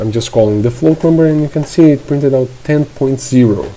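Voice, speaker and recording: There is noticeable background noise behind speech at a moderate pace. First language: not English. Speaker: programming tutor. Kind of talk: screen-recorded coding tutorial. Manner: halting, with fillers and self-corrections; casual.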